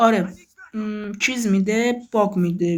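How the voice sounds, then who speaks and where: A woman at a fairly slow pace, her intonation fairly even. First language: Azerbaijani Turkish (speaking Persian). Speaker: gaming youtuber. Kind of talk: casual gameplay commentary.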